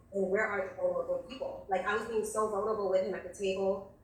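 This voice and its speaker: Very fast, flat, monotone speech with audible room echo and noticeable background noise. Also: woman. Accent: American. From New York City, the Bronx. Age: 40s. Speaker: nurse on a dating show. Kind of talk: casual storytelling. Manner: voice cracking, close to tears.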